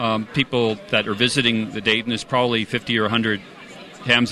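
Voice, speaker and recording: A man with an American accent speaks at medium pitch over noticeable background noise. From California. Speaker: amateur radio society representative. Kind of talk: interview at convention.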